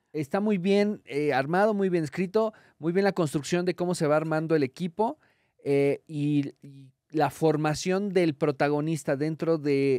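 With a Mexican accent, a man speaks fairly slowly at a fairly high pitch with ordinary pitch variation, in a dry, close sound with no echo. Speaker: comedian. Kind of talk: casual chat. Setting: live show with audience.

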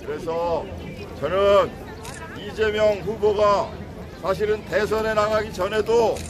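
A man talks at a very slow pace. Loud background noise runs behind him. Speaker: local politician speaking at rally. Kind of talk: campaign rally speech. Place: garden.

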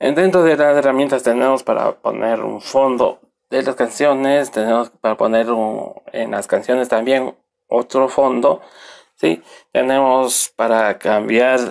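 Very slow speech on a very clean recording, the background silent. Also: man. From Ecuador, Riobamba. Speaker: computer technician. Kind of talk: software tutorial. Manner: halting, with fillers.

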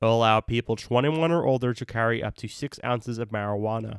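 Speaking fairly quickly at a medium pitch with ordinary pitch variation, a man has an unremarkable speaking voice. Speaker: student newscaster. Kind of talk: news reading. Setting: remote recording. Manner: formal; steady, brisk delivery.

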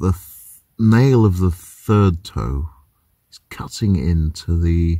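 Against a quiet background, a man with a very deep, low voice talks very slowly in a dark, mellow, somewhat breathy tone, the sound dry with no echo. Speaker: van life vlogger. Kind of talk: casual vlog chat. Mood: dry humorous. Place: car. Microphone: phone near.

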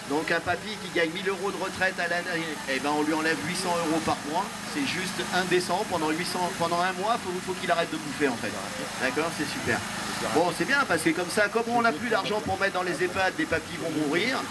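A man at a fairly quick pace, ordinary pitch variation, over loud background noise. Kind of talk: protest speech reading a letter. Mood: indignant, sarcastic. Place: street.

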